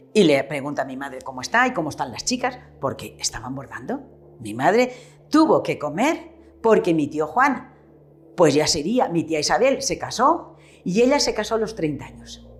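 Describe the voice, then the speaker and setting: With music in the background, a woman speaks at a moderate pace and medium pitch, her pitch swinging very widely and her loudness swinging a lot. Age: 70s. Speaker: retired shopkeeper. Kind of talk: oral history interview.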